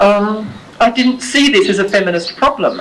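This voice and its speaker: A woman speaks at a medium pitch with lively intonation. There is noticeable background noise and audible room echo. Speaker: academic lecturer. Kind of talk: lecture.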